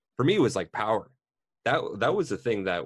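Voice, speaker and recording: A man talks at a fairly quick pace. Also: very clean recording, silent background. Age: 30s. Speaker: podcast host, IT support worker. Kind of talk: scripted intro reading; casual chat.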